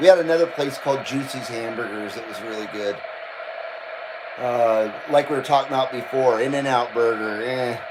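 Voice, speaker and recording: Noticeable background noise sits behind a man with an American accent who speaks in an animated tone at a medium pitch and moderate pace. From Southern California (Thousand Oaks, Burbank). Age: 50s. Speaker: live streamer, CB radio hobbyist. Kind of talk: casual chat. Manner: casual, animated.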